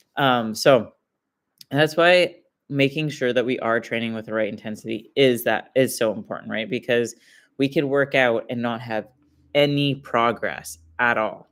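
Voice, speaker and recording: The recording is very clean, with a silent background. A man of medium pitch speaks at a moderate pace. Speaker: fitness coach. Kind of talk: live stream talk. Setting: live stream. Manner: monotone; casual, filler-heavy.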